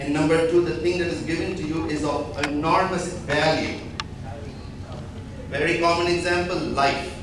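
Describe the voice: A man with a fairly high pitch talks at a moderate pace and fairly even intonation. Clear background noise and audible room echo are present.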